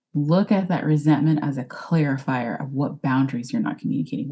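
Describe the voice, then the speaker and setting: With a Texan accent, a woman talks at a very fast pace in a very deep, low, somewhat breathy voice, her dark, mellow tone carrying lively intonation. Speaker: life coach, former wedding planner. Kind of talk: podcast interview.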